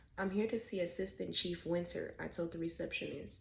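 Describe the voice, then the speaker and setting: Whispering, a woman talks at a moderate pace. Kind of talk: ASMR book reading. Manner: whispered.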